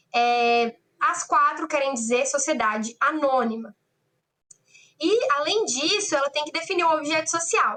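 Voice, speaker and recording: A woman speaks in a raised, projected voice, high in pitch with a bright, sharp tone. Her intonation is lively and her pace fairly slow. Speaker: law lecturer. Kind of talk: online lecture. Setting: online class.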